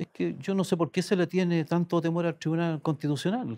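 The speaker is a man. He keeps to a moderate pace. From Chile, Aysén region. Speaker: senator. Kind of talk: political interview. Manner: halting, frequent repetitions. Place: studio. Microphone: lapel.

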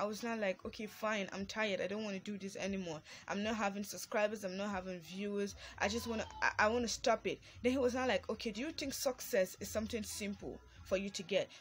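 A woman speaks very fast, with fairly even intonation and a somewhat breathy voice. Light background noise sits behind her. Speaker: vlogger. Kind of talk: casual motivational vlog talk. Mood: earnest, encouraging. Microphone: phone near.

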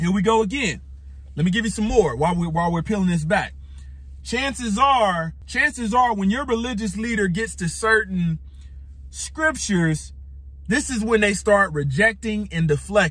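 The speech moves at a moderate pace, with a dry sound and no echo. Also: man. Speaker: religious teacher. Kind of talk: sermon. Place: car. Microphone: phone near.

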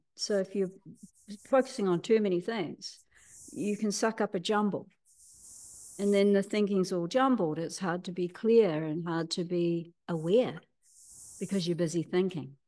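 Against a quiet background, a woman with a New Zealand accent speaks at a moderate pace with ordinary pitch variation and long, frequent pauses. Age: 60s. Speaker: healer and teacher; teacher. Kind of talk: interview. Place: home room. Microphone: video call.

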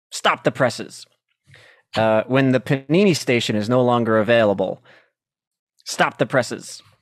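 A man at a moderate pace with ordinary pitch variation and long, frequent pauses, in dry sound with no echo and a quiet background. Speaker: comedian. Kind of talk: casual chat. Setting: video call. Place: home room. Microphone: handheld.

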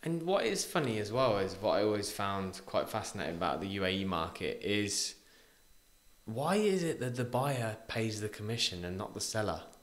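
With a British accent, a man talks at a moderate pace with lively intonation. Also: fairly low pitch for a man. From UK. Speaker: podcast host. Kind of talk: casual interview chat. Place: studio. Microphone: studio mic.

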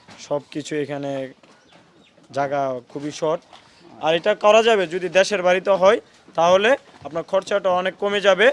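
Noticeable background noise sits behind a man's high-pitched voice, which has ordinary pitch variation and a dry, close sound with no echo. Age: 20s. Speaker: goat farmer and trader. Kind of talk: interview answers.

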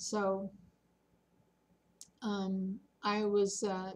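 This is a woman whose voice is somewhat breathy. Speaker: senior vlogger. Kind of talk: casual vlog chat. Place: home room. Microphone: webcam.

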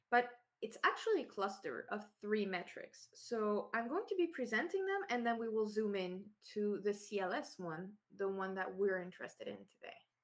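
A woman with a Quebec accent talks at a moderate pace. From Quebec, Canada. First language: French. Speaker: SEO consultant and conference speaker. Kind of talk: technical conference talk. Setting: remote online talk from home. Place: home room. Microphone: webcam.

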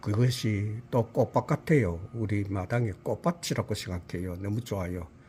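Somewhat breathy, a man's fairly low voice moves with ordinary pitch variation. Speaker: retired school principal. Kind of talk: garden tour vlog narration. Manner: halting, many fillers.

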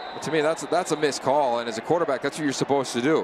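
A man with a fairly high pitch and ordinary pitch variation, against noticeable background noise. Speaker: color commentator. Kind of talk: live commentary. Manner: excitable.

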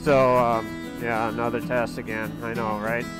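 Clear music plays in the background while a man speaks at a fairly slow pace. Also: dry sound with no echo. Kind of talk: casual vlog chat. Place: motorbike. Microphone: helmet.

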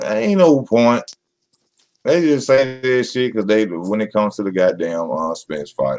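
A slightly mellow, fairly low male voice at a fairly slow pace. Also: ordinary pitch variation.

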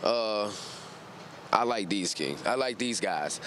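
A man's enthusiastic voice, dry with no echo, over light background noise. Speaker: dealership customer; interviewee. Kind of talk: casual testimonial. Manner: laughing, enthusiastic. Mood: upbeat, satisfied. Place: street. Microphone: handheld.

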